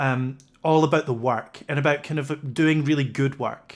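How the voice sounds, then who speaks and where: A man's fairly high-pitched voice with fairly even intonation. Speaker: livestream interview host. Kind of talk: casual interview chat. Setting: livestream video call. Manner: halting, many fillers.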